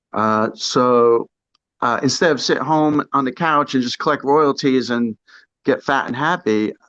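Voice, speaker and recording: At a fairly slow pace, a man with an American accent speaks at medium pitch with ordinary variation, the sound dry and close with no echo against a quiet background. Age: 60s. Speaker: punk drummer. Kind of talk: casual interview. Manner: halting.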